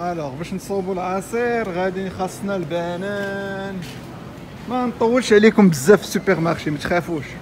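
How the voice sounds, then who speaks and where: A man in a Moroccan accent, high-pitched, with ordinary pitch variation, over noticeable background noise. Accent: Moroccan Arabic (Darija). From Morocco. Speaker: vlogger. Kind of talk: casual vlog talk to camera. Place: shop. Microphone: phone near.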